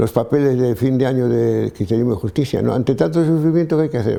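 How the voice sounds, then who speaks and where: Talking at a very fast pace, a man uses lively intonation in a medium-pitched voice with a dark, mellow tone. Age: 80s+. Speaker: priest and theologian. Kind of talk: interview. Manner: halting, with many restarts.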